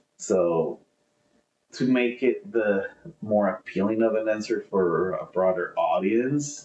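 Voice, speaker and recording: A man is speaking. He has a Spanish accent. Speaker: podcast co-host. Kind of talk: casual chat.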